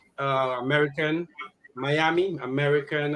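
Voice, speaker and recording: A man's unremarkable speaking voice, fairly high-pitched, at a fairly slow pace with fairly even intonation. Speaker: podcast host. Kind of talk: podcast talk.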